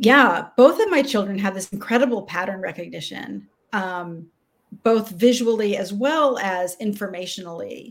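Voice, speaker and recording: A woman with an American accent talks in an unremarkable speaking voice at a medium pitch, fairly slow, with ordinary pitch variation. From Texas, Austin. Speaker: leadership coach. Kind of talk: interview.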